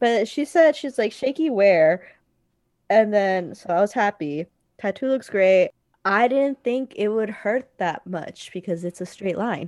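On a very clean recording with a silent background, a woman speaks at a fairly slow pace in a medium pitch with lively intonation, the sound dry and close with no echo. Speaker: podcast co-host. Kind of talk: casual chat. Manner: audible inhales before sentences. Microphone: internet cutting out.

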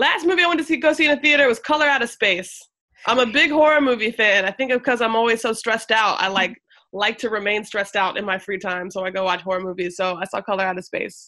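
A woman talks at a very fast pace in an American accent, with a bright, sharp tone, lively intonation and a fairly high pitch. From US South. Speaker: politician and hip hop artist. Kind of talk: casual interview.

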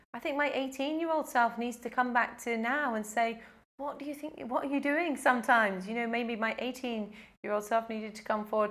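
Her pitch high, a woman speaks at a fairly quick pace with ordinary pitch variation. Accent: British. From UK. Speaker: life coach. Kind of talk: casual interview.

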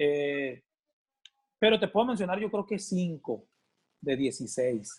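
Very wide pitch swings mark this very slow delivery, full of long, frequent pauses, on a very clean recording with a silent background. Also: man, high pitch for a man. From Sinaloa, Mexico. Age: 40s. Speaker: band musician, percussionist. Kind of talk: interview, casual chat.

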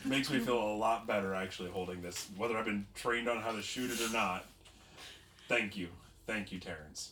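A man puts on a raspy character voice at a fairly low pitch, keeping his intonation fairly even and his pace fairly quick. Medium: actual play. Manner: anxious, earnest.

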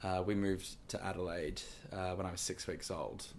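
A man talks in a fairly low voice with an American accent. Room echo is audible. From Queensland, Australia (Gold Coast). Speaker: Broadway performer and choreographer. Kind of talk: interview conversation. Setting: studio, in person.

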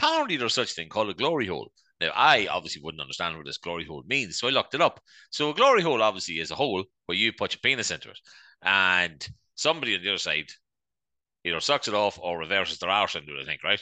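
A man with an Irish accent, fairly low pitch, very wide pitch swings, a bright, sharp tone and a very fast pace, against a quiet background. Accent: Irish (Louth). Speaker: podcast co-host. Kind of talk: casual chat.

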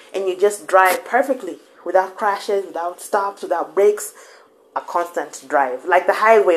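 A woman's medium-pitched voice at a fairly quick pace, over noticeable background noise. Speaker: podcast host. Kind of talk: motivational monologue. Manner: casual, code-switching with Swahili.

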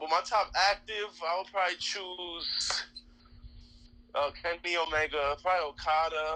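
In a New York accent, a man speaks at a moderate pace with a high pitch and a bright, sharp tone. His intonation stays fairly even. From Queens, New York. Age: 30s. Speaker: professional wrestler. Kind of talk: casual interview chat.

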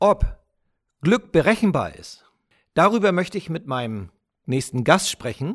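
A high-pitched man speaks fairly slowly with long, frequent pauses, very wide pitch swings and big swings in loudness, on a very clean recording with a silent background. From Germany. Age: 50s. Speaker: podcast host. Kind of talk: personal storytelling monologue.

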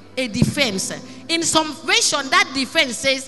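Over noticeable background noise, a woman speaks at a fairly slow pace in a high, raised, projected voice with an animated tone and ordinary pitch variation. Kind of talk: preacher in full flow, sermon with call-and-response and prayer. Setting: church with congregation. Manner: loud, animated, rhythmic, exhorting the congregation with repeated questions; fervent, declamatory, pausing for the crowd to answer.

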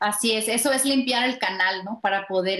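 A woman with a plain, everyday voice speaks at a moderate pace with a fairly high pitch. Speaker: life coach and spiritual author. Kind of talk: interview testimony.

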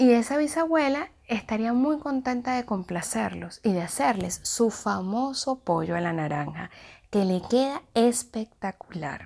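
The speech moves at a fairly slow pace with very wide pitch swings. The recording is very clean, with a silent background. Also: woman, fairly high pitch for a woman. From Venezuela, Caracas. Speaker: contributor sharing a personal story. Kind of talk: personal narrative.

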